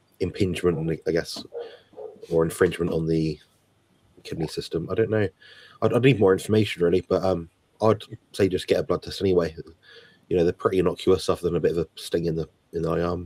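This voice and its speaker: Quiet and very deep, a man's dark, mellow voice races at a very fast pace with long, frequent pauses and fairly even intonation, in a dry, close sound with no echo. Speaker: health guest. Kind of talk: live Q&A.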